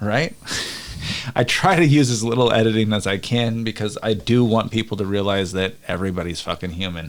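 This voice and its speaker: A man at a fairly low pitch, fairly quick in pace, with ordinary pitch variation and noticeable background noise. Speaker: podcast host. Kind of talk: casual chat. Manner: occasionally slurs or trips over words.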